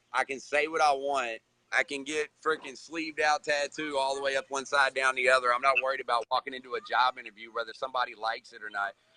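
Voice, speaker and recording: A man with a medium-pitched voice talks at a very fast pace. His tone is bright and sharp, with hardly any pauses. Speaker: recovering addict, social media director. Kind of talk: casual chat.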